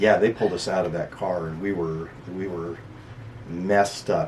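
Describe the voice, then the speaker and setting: With an American accent, a man speaks at a moderate pace in a very deep, low voice. Background noise is noticeable. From eastern Washington. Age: 60s. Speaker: bodybuilder. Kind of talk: interview. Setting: radio studio. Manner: halting.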